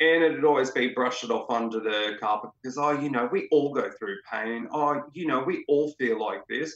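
Hardly pausing, a man with an Australian accent talks at a moderate pace, fairly high in pitch with ordinary pitch variation. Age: 30s. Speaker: interviewee sharing mental health story. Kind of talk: personal testimony in interview.

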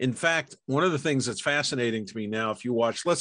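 Over a quiet background, a man with an American accent uses an ordinary speaking voice at a medium pitch. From New York. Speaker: documentary filmmaker and film historian. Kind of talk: casual chat.

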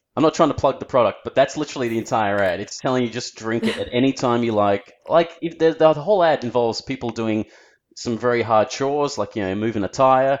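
Over a quiet background, a man with an Australian accent talks at a very fast pace in a medium pitch with ordinary pitch variation. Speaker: animator and actor. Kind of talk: casual chat. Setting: remote call.

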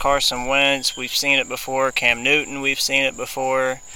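A man's fairly high voice at a moderate pace, over noticeable background noise. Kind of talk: casual chat.

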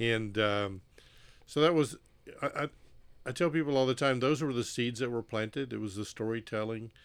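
In a very clean recording with a silent background, a man with a Southern US accent speaks at a moderate pace and medium pitch, with ordinary pitch variation and long, frequent pauses. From Mississippi. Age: 60s. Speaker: former missionary, nonprofit executive director. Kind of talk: testimony. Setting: on-location recording.

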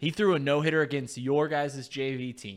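This is a man with an unremarkable speaking voice, fairly high in pitch with ordinary pitch variation. The recording is very clean, with a silent background. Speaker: sports radio host. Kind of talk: casual sports talk show. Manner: joking, banter.

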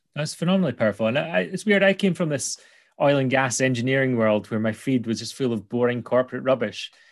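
Speaking very fast with a Scottish accent, a man of medium pitch uses lively intonation against a quiet background. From Scotland, Angus. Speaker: podcast host. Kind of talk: casual interview chat; podcast intro.

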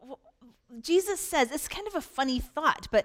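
A woman's animated voice with very wide pitch swings, on a very clean recording with a silent background. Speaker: pastor. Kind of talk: sermon. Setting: church stage with audience. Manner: emphatic, repeating for force.

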